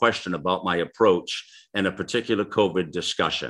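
With vocal fry, a man speaks in a bright, sharp tone. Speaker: radio host. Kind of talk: casual interview chat with listener Q&A. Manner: conversational, warm.

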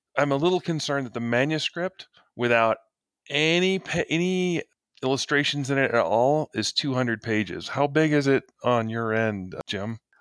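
On a very clean recording with a silent background and a dry, close sound with no echo, a man in an ordinary speaking voice talks at a moderate pace and fairly high pitch with lively intonation. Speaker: game master, podcast co-host. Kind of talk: casual chat.

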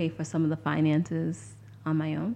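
This woman has a very deep, low pitch and a dark, mellow tone. She speaks with an American accent. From Lynn, Massachusetts. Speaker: nonprofit founder. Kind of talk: interview.

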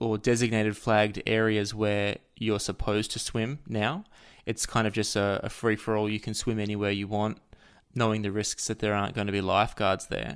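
A man with a fairly low voice speaks in an Australian accent at a moderate pace. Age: 30s. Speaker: author and music researcher. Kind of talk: casual chat.

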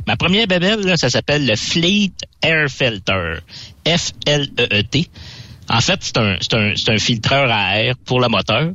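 Very slowly, a medium-pitched man with a Quebec accent speaks with very wide pitch swings and very even loudness. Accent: Québécois French. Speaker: trucking equipment columnist. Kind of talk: radio chat.

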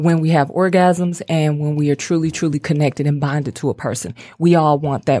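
A woman speaks in a very deep, low pitch with a dark, mellow tone. Her pace is fairly quick and her intonation fairly even. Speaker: guest. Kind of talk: casual chat.

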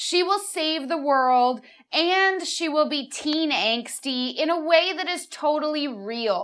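A woman speaks in a bright, sharp tone. Her pitch swings very widely. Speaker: podcast host and actress.

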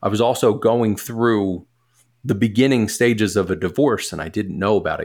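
A man with an American accent has a normal speaking voice, fairly low in pitch with ordinary pitch variation and big swings in loudness. He talks at a moderate pace in a very clean recording with a silent background. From US Northeast, Philadelphia. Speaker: musician and business partner. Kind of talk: casual chat.

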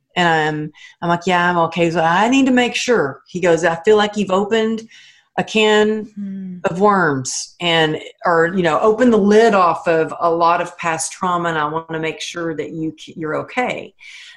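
A woman with an American accent talks in a plain, everyday voice, fairly low in pitch, with ordinary pitch variation at a moderate pace. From Texas. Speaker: author and motivational speaker. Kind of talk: interview.

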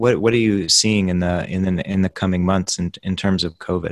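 This man has an unremarkable speaking voice, pitched fairly low. His intonation stays fairly even as he talks at a fairly quick pace. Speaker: podcast host and magazine editor. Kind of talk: professional interview.

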